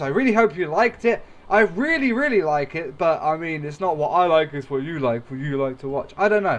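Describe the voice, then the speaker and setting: Someone speaks with an English accent at a fairly quick pace, their intonation lively. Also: man. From England. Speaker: gaming YouTuber. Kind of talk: let's play commentary.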